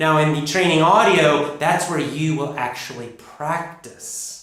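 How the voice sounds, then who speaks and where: In a plain, everyday voice, a man with an American accent speaks at a fairly slow pace and fairly high pitch with ordinary pitch variation. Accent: North American (US). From United States. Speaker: English pronunciation teacher. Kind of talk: course introduction. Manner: clear, deliberate.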